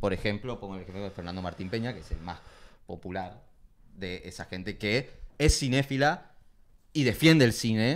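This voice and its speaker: A man speaks at a moderate pace with lively intonation. He leaves long, frequent pauses. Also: fairly low pitch for a man. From Corrientes, Argentina. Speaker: film collective member; guest. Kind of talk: casual interview. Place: home room. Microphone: handheld.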